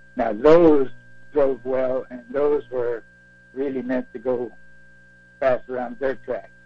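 A man speaks at a medium pitch, very slowly, with long, frequent pauses. His intonation stays fairly even over music in the background. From Quebec. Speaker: retired race car driver. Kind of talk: interview.

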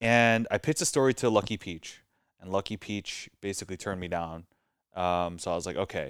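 Fairly quick speech with ordinary pitch variation on a very clean recording with a silent background. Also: man. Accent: American. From Southern California. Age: 30s. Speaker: food writer and editor. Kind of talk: casual interview chat.

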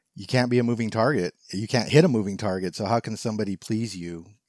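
An unremarkable speaking voice moves at a fairly quick pace. The pitch varies in an ordinary way. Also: man. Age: 50s. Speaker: podcast co-host. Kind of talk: casual chat.

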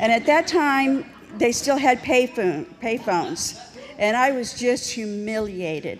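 Amid noticeable background noise and audible room echo, a woman with a fairly high pitch speaks with lively intonation. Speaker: recovery speaker. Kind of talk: testimony. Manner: animated.

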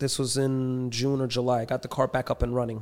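In a New York accent, a man speaks at a medium pitch and moderate pace with monotone, flat intonation on a very clean recording with a silent background. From New York City, Queens. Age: 30s. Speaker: street racer and entrepreneur. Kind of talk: casual chat.

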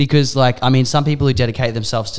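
A man speaks with an Australian accent. His intonation stays fairly even. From Australia, Mornington Peninsula, Victoria. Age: 20s. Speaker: DJ and nightclub manager. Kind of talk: casual chat.

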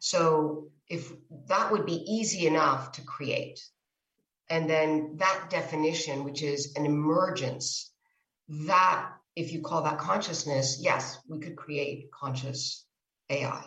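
A woman's very deep, low voice at a very slow pace, with ordinary pitch variation and big swings in loudness. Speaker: neuroscientist. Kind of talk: casual interview conversation. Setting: video call.

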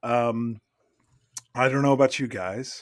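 The recording is very clean with a silent background, and the speech moves at a moderate pace. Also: man. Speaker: podcast host. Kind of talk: casual banter podcast.

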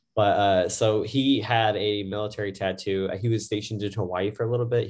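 Fairly even intonation marks this man's fairly low pitch, delivered in an ordinary speaking voice. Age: 30s. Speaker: tattoo artist. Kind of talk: casual chat.

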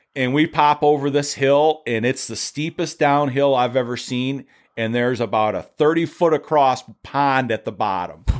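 On a very clean recording with a silent background, a man with a Michigan accent talks in a fairly high, animated voice at a moderate pace with ordinary pitch variation. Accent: Midwestern US (Michigan). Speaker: dune photographer and car fabricator. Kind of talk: casual interview conversation. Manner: talkative, animated storytelling.

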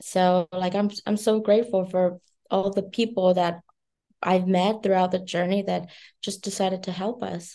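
A woman with a Vietnamese accent speaks at a moderate pace in a medium pitch, her dark, mellow tone held to a monotone, flat intonation. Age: 20s. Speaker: beauty company founder. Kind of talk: interview.

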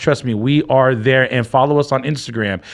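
A man talks at a moderate pace. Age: 40s. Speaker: podcast co-host. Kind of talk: casual chat.

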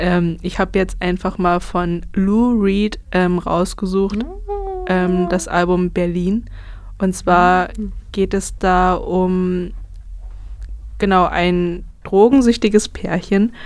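Her medium-pitched voice stays monotone and flat as this woman speaks at a very slow pace with long, frequent pauses. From Brandenburg, Germany. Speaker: student radio host. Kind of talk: casual music radio chat. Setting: radio studio.

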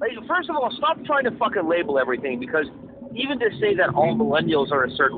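A man talks at a fairly quick pace with a high pitch. His pitch swings very widely over noticeable background noise. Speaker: podcast co-host. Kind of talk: casual chat. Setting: phone call.

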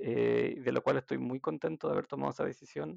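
Male speaker at a moderate pace, dry, close sound with no echo, quiet background. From Chile, Santiago. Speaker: healthcare worker, social care worker. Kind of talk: casual interview.

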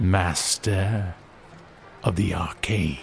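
A man's put-on character voice at a very deep, low pitch, with clear background noise. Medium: audio drama. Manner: aloof, dry.

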